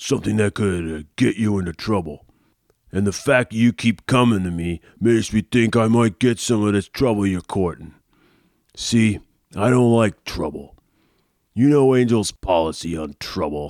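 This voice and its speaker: Dry and close with no echo, a man's fairly low voice moves at a moderate pace. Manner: gruff, suspicious, slangy.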